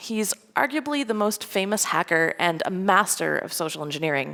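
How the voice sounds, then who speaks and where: A woman with a slight Scottish accent and a medium-pitched voice swings her pitch very widely. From Scotland. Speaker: security engineer, conference speaker. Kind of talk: conference talk. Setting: stage with audience.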